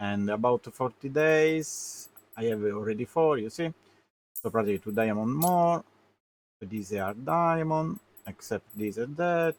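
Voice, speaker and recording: A man speaks with a non-native accent at a fairly slow pace. His pitch is medium and his intonation lively. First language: Italian. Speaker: gaming streamer. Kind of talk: live game commentary. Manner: halting, many fillers.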